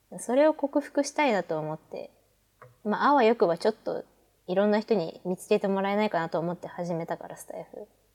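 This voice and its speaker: A woman has a plain, everyday voice with a fairly high pitch. Her intonation is lively and her loudness swings widely. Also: fairly quick pace, dry, close sound with no echo. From Hokkaido, Japan. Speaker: pharmacy student and podcaster. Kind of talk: casual chat.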